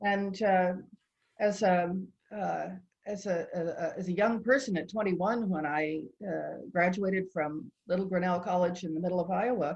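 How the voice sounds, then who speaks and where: A woman's somewhat breathy voice at medium pitch and moderate pace. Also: fairly even intonation. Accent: American. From United States. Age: 70s. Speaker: patient advocate. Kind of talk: interview conversation.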